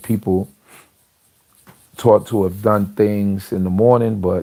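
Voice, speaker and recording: This man's voice sits very deep and low, with a dark, mellow tone. His intonation stays monotone and flat. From Trinidad. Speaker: religious livestream host. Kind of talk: religious talk. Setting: livestream. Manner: soft-spoken.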